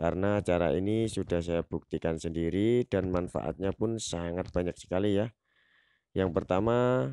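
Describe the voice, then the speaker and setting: A man with a very deep, low pitch and a dark, mellow tone speaks at a fairly slow pace with ordinary pitch variation, in a dry, close sound with no echo and a quiet background. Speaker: gardening tutorial youtuber. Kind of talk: tutorial.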